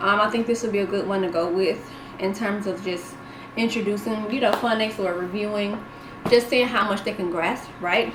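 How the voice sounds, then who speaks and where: Music plays in the background and audible room echo is present as a woman speaks at a moderate pace with a medium pitch and ordinary pitch variation. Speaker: homeschool mom and tutor vlogger. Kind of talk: casual tutorial video.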